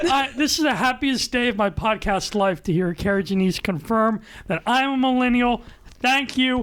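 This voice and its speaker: A woman speaks in an excited tone with lively intonation. Her pitch is fairly high and her pace moderate. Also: very even loudness. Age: 30s. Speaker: podcast host, diocesan newspaper staff writer. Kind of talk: casual podcast chat with announcements. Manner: loud, excited.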